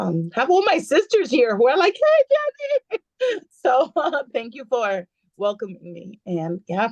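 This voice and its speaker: Speaking at a fairly slow pace, a woman with a Spanish accent swings widely in loudness, recorded with a dry, close sound and no echo. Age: 50s. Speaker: beauty brand consultant. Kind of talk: casual chat.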